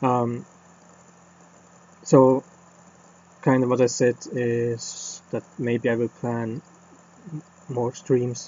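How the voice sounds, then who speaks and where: A man with a non-native accent and a medium pitch speaks very slowly in a monotone, flat voice, with long, frequent pauses. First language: not English. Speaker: game developer streamer. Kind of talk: casual channel update. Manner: halting, many fillers.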